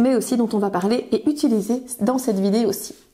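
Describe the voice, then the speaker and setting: A woman's fairly high-pitched voice comes at a fairly quick pace against noticeable background noise. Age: 30s. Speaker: kitchen appliance sales consultant. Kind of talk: product demonstration tutorial. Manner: frequent hesitations (euh).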